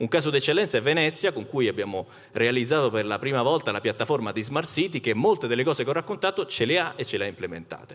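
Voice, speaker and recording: Against a quiet background, a man races along at a very fast pace with very wide pitch swings. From Rome; Italy. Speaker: company executive; speaker. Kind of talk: conference panel talk. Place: stage. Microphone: handheld.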